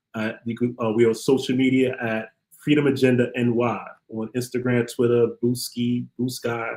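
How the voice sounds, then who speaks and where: Speaking in a Brooklyn accent, a man keeps a moderate pace at medium pitch with monotone, flat intonation. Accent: Brooklyn New York. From Brooklyn, New York. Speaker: criminal justice activist, former prisoner. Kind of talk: interview.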